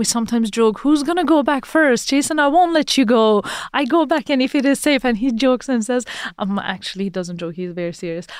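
A woman with a Persian accent speaks very fast at a high pitch, her voice making very wide pitch swings. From Iran. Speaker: press freedom advocate. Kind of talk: interview.

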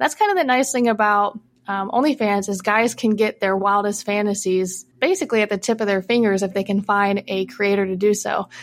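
A woman with an American accent has an unremarkable speaking voice at a medium pitch with ordinary pitch variation. She talks at a fairly quick pace on a very clean recording with a silent background. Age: 20s. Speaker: anonymous adult content creator. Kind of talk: casual interview chat.

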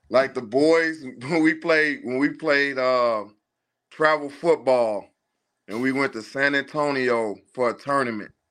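In an American accent, a man with a plain, everyday voice speaks at a fairly slow pace and a fairly high pitch, with ordinary pitch variation. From Chicago. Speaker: parent of a football recruit. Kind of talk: casual chat.

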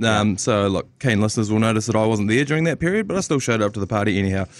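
Lively in intonation, a man with a New Zealand accent speaks at medium pitch. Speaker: sports podcast host. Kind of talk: casual chat. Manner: animated.

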